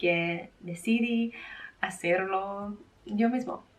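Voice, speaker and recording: With an English accent, a woman speaks in a somewhat breathy voice of medium pitch and ordinary pitch variation. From Australia. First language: English (speaking Spanish). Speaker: fashion brand owner, vlogger. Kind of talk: vlog talk to camera. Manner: careful, partly reading notes.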